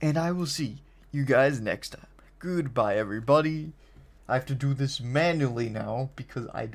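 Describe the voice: The clip is plain reading aloud. The words are simply read out.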